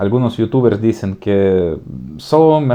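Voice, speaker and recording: With a slight Slavic accent and a dark, mellow tone, a man talks at a fairly slow pace. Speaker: youtuber, political commentator. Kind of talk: casual political commentary vlog. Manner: hesitant, many fillers.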